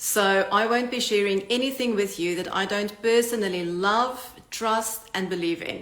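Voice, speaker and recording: A woman with a South African accent speaks at a moderate pace and medium pitch, with fairly even intonation and hardly any pauses, over audible room echo and noticeable background noise. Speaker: online business coach. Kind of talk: channel introduction talk. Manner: direct.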